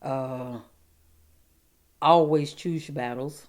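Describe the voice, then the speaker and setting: Fairly even intonation and a fairly slow pace, with an Alabama accent. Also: woman. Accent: US South, Alabama. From Alabama, Lee County. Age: 60s. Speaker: interviewee in oral history project. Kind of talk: oral history interview. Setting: at her home. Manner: halting, repeats words.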